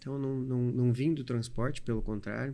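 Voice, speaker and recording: In a normal speaking voice, a man talks at a medium pitch, and his pitch varies in an ordinary way. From Paraná, Brazil (Medianeira). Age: 40s. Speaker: trucking company owner. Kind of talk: podcast interview.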